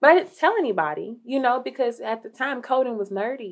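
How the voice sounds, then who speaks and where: At a moderate pace, a woman talks in an ordinary speaking voice with lively intonation. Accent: American. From Dayton, Ohio. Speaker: social work case manager. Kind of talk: interview.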